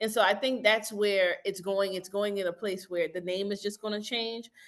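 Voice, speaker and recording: Over a quiet background, a woman speaks in a normal speaking voice at medium pitch and a moderate pace. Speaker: DEI professional, former recruiter. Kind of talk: interview answer.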